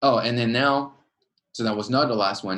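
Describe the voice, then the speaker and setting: This man speaks at a medium pitch with a French accent and ordinary pitch variation. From France. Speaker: PhD student and student association leader. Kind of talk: informational webinar talk. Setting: webinar.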